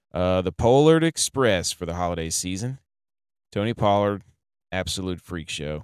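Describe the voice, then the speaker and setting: In a very clean, dry, close recording with a silent background and no echo, a man with a very deep, low pitch speaks at a moderate pace with ordinary pitch variation. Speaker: fantasy football podcast host. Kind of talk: casual solo podcast monologue. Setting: recording in his truck. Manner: speaking a little softly.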